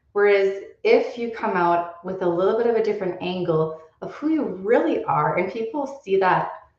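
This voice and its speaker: A woman talks at a fairly slow pace with a medium pitch. Audible room echo surrounds her voice. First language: not English. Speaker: well-being coach. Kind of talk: live show monologue. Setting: live stream.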